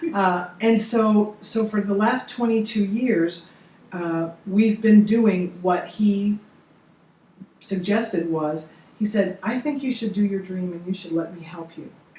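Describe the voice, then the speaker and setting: Over noticeable background noise, a woman speaks at a fairly slow pace and medium pitch, with ordinary pitch variation and big swings in loudness. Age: 60s. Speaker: motivational speaker and coach. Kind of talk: interview. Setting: studio.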